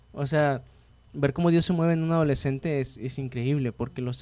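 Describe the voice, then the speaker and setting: A man talks at a moderate pace with ordinary pitch variation. His voice is fairly high in pitch, with a dark, mellow tone. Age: 20s. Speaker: podcast host. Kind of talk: casual interview chat.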